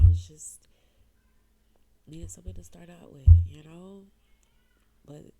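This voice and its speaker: A woman talks at a fairly slow pace. Room echo can be heard. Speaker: single mom vlogger. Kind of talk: emotional personal vlog.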